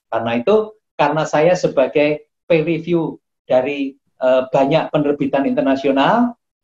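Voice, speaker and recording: At a fairly slow pace, a man speaks with a fairly high pitch and very even loudness, in a dry, close sound with no echo. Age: 60s. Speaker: professor and acupuncture doctor. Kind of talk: interview. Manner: halting, with frequent fillers.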